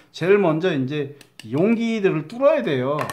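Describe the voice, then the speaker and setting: Moving at a moderate pace, a man talks with very wide swings in pitch. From Chungcheong, Korea. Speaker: craft instructor. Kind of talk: tutorial. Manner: halting, stumbling over words.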